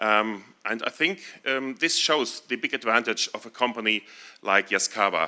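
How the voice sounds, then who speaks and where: A man with a German accent and a medium pitch talks at a moderate pace in a bright, sharp tone with ordinary pitch variation. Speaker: town mayor. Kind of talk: ceremonial speech. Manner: halting.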